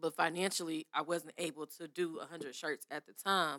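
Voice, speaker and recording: A woman with an American accent talks at a fairly quick pace in a fairly low pitch, with fairly even intonation. Her tone is bright and sharp, and the sound is dry and close with no echo. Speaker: small business owner. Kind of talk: casual chat.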